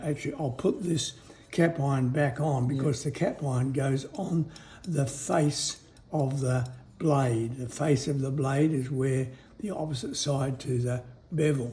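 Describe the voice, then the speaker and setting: Speaking with an Australian accent, a man keeps a fairly slow pace and fairly even intonation. His pitch is fairly high. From Western Australia. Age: 70s. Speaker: retired woodwork teacher, cabinet maker. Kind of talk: casual explanatory demonstration.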